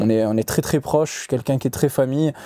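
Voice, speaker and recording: This man talks at a fairly quick pace. His tone is dark and mellow. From Corsica. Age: young. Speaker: fighter. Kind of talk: podcast interview. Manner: hesitant, many fillers.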